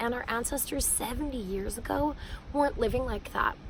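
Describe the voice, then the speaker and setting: Noticeable background noise accompanies a woman speaking with a Canadian accent. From Canada, Manitoba. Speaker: educator and singer-songwriter. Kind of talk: vlog monologue. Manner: hesitant, many fillers.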